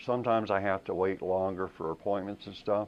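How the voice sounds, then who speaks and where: A man speaks with an American accent at a very deep, low pitch. His intonation is monotone and flat. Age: 60s. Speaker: war veteran. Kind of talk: interview testimony.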